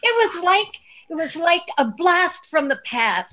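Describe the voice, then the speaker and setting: A woman speaks very slowly in a raised, projected voice with a bright, sharp tone and very wide pitch swings. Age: 60s. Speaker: alchemist. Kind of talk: casual chat.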